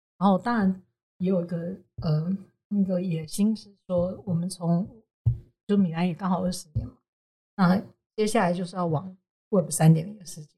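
The voice has a dark, mellow tone, somewhat breathy, at a moderate pace with fairly even intonation. Long, frequent pauses break it up, and the loudness swings widely. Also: woman, medium pitch for a woman. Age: 40s. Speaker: advertising agency co-founder. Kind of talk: interview.

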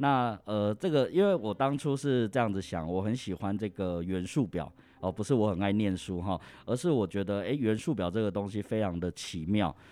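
At a moderate pace, a man with an unremarkable speaking voice talks in a fairly low pitch with lively intonation. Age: 30s. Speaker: insurance sales manager. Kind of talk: interview.

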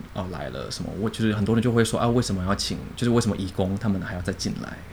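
The speech moves at a very fast pace with vocal fry. Pitch variation is ordinary. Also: man. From Indonesia (Jakarta), Chinese-Indonesian; later Penang, Malaysia. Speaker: designer and translator. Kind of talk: casual chat.

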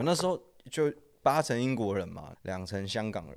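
A man with a normal speaking voice at medium pitch, on a very clean recording with a silent background. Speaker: former sneaker shop worker and design student. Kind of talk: casual chat.

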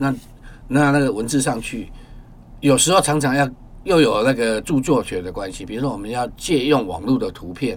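A man uses a plain, everyday voice at a medium pitch and a moderate pace. His intonation is lively, and his loudness swings widely. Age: 50s. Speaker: photographer and poet. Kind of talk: interview conversation.

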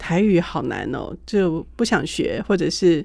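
This woman uses an ordinary speaking voice, with medium pitch, ordinary pitch variation and a moderate pace. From Taiwan. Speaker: radio host. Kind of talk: radio interview. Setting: studio.

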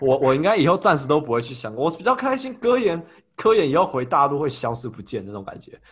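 Against a quiet background, a somewhat breathy man with a fairly high pitch talks very fast, with very wide pitch swings and big swings in loudness. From Taiwan. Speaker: podcast host. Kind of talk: casual chat. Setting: video call.

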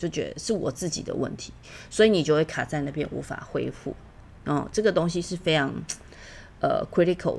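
A woman speaks in a plain, everyday voice at a fairly low pitch. She keeps a moderate pace. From Taiwan. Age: 40s. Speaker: podcast host. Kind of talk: solo podcast monologue.

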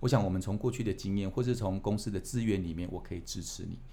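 Delivered at a very fast pace in a Taiwanese accent, the voice has a dark, mellow tone and ordinary pitch variation. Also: man. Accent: Taiwanese Mandarin. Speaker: company executive. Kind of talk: interview. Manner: hesitant, many fillers.

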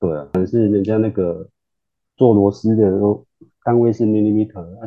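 With a normal speaking voice and fairly low pitch, a man talks at a moderate pace and keeps his intonation fairly even. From Taiwan, Kaohsiung. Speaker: semiconductor engineer. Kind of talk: casual interview.

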